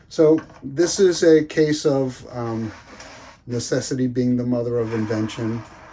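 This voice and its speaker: Speaking fairly slowly, a man keeps to a medium pitch with ordinary pitch variation. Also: long, frequent pauses. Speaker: bonsai hobbyist YouTuber. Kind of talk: casual tutorial. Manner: hesitant, many fillers.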